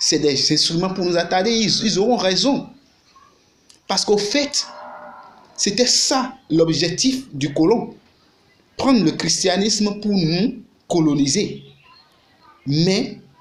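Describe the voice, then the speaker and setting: A man with a Beninese accent talks very slowly at a high pitch with lively intonation. Room echo is audible. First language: Fon (Gun) (speaking French). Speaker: YouTuber and activist. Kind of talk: video monologue. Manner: halting.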